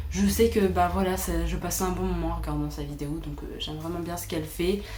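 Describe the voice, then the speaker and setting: The room echo is audible, and background noise is noticeable. Through it, a woman talks at a fairly quick pace. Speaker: booktuber. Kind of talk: casual chat.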